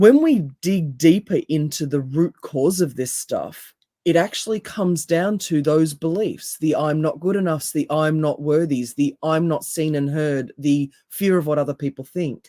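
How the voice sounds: A raspy woman's voice, low in pitch with a dark, mellow tone, moves at a fairly slow pace with ordinary pitch variation.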